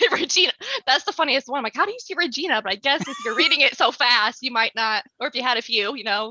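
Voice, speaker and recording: A woman speaks in a raised, projected voice at a high pitch and a very fast pace, with lively intonation. The sound is dry and close, with no echo. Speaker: featured guest, streamer. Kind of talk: casual chat. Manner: shaky voice; hesitant.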